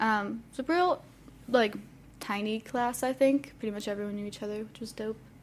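At a moderate pace, a woman with an American accent speaks in an unremarkable speaking voice, fairly high in pitch, with ordinary pitch variation and big swings in loudness. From US Midwest, Akron area, Ohio. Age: 20s. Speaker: art education student. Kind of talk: casual chat, personal testimony.

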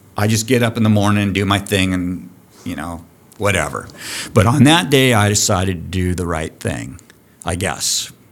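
Lively intonation at a moderate pace carries through audible room echo. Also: man, fairly low pitch for a man. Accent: American. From US West Coast (Santa Barbara, California). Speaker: diving school program director. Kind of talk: casual chat. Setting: on location at a college diving building.

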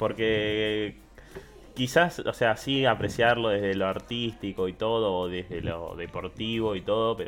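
Over music in the background, a man talks at a fairly slow pace in a fairly low pitch with ordinary pitch variation. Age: 20s. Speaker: podcast co-host. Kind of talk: casual chat.

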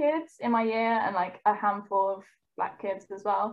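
A woman speaks at a fairly high pitch. She keeps a fairly slow pace. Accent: London. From East London, England. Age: 20s. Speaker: trainee clinical psychologist. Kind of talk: casual chat.

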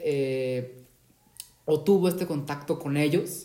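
Dark and mellow in tone, a man's voice sits at a fairly high pitch. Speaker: podcast host. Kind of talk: interview. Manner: enthusiastic.

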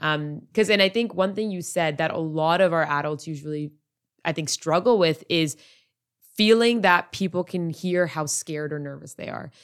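On a very clean recording with a silent background, a woman with a plain, everyday voice speaks at a fairly low pitch and a moderate pace, with big swings in loudness. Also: ordinary pitch variation. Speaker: podcast host; project manager. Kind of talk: casual interview.

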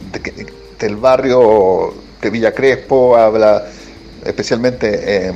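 A man with a Chilean accent and a medium pitch talks at a very slow pace with fairly even intonation. Music plays in the background. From Chile, Valparaíso. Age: 50s. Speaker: writer and essayist. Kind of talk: interview. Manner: halting, many fillers and repetitions.

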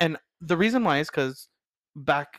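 Animated in tone, a man talks at a fairly quick pace with ordinary pitch variation. The sound is dry and close with no echo. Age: 30s. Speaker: chef. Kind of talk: casual chat.

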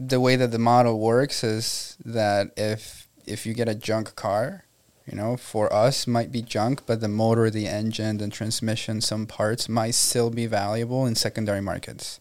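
This man has a Spanish accent and a medium pitch. He talks at a fairly slow pace in a monotone, flat intonation. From Venezuela. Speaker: entrepreneur. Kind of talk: interview.

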